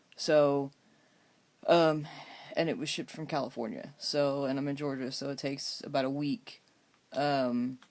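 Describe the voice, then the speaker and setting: A man with a fairly high voice at a moderate pace, with fairly even intonation and long, frequent pauses. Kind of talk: casual video diary. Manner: halting, many filler ums.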